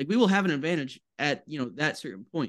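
The background is quiet here. A man talks, his intonation lively. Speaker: college basketball podcast co-host. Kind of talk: casual chat. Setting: video call. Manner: animated.

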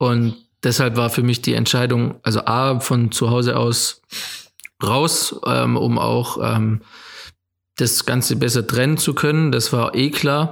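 At a very slow pace, a man of medium pitch speaks with fairly even intonation, very even loudness, and long, frequent pauses. The recording is very clean, with a silent background. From Germany, Swabia (near Rottweil). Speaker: photographer and filmmaker. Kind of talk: casual interview.

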